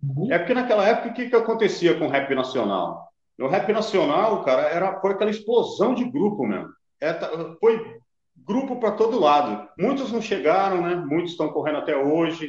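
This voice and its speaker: A man speaks at a moderate pace with a high pitch and lively intonation. Audible room echo surrounds his voice. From Brazil, São Paulo area (Carapicuíba). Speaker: rapper. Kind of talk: casual chat.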